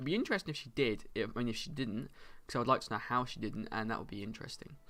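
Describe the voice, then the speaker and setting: A man speaks in a bright, sharp tone. The recording is very clean, with a silent background. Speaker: book reviewer. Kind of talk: casual chat. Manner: fast.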